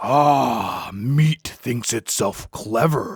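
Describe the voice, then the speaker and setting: This man puts on a character voice that is raspy and growling. His pitch sits in the medium range. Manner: mocking, menacing.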